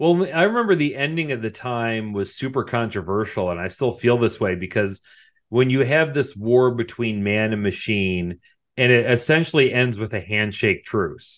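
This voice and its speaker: A man speaks in an ordinary speaking voice at a medium pitch, his intonation lively. He keeps a moderate pace, and the background is quiet. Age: 40s. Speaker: podcast co-host. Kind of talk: casual chat.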